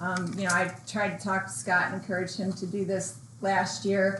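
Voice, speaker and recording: A woman at a medium pitch and moderate pace, ordinary pitch variation, audible room echo and noticeable background noise. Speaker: town board member. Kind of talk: public meeting remarks. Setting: town board meeting room.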